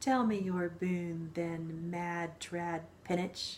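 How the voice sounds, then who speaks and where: Using a cackling, put-on character voice, a woman speaks very slowly at a fairly low pitch against clear background noise. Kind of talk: fairy tale reading. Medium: read story. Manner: cackling, archaic speech.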